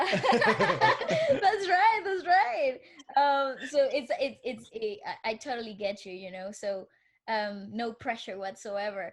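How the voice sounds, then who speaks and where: Very slowly and at a high pitch, a woman with a Spanish accent talks in very wide pitch swings. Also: big swings in loudness. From Venezuela. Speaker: podcast co-host. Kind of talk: casual interview chat. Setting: live video podcast.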